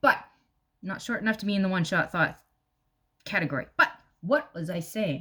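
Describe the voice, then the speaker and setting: Her tone is bright and sharp. The woman speaks with ordinary pitch variation. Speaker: video blogger. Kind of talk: casual chat. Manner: fast; animated.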